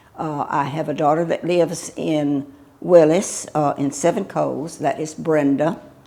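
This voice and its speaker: A woman with a Texan accent, very deep and low in pitch, dark and mellow in tone, with fairly even intonation at a moderate pace. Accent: Texan (US Southern). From Texas, Houston area. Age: 80s+. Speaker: local elder, widow of a doctor and judge. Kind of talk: oral history interview. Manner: halting, many fillers.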